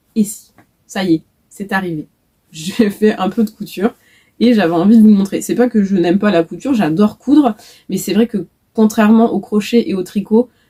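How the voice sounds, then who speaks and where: Somewhat breathy and dark, mellow in tone, a woman at medium pitch speaks at a moderate pace with ordinary pitch variation and long, frequent pauses, in a dry, close sound with no echo. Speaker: knitting and crochet vlogger. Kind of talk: casual video podcast chat. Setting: home workshop, facing camera. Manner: many filler hesitations.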